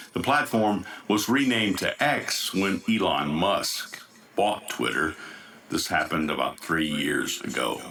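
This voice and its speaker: With an American accent, a man speaks at a fairly slow pace and very even loudness over noticeable background noise. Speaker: news anchor. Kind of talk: news broadcast.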